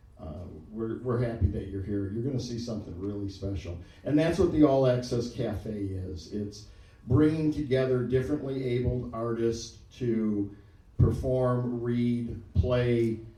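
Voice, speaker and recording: A man with an American accent and a medium pitch talks at a fairly slow pace with ordinary pitch variation and big swings in loudness, and room echo is audible. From Detroit. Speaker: event emcee and poet. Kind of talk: live event introduction. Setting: stage with audience.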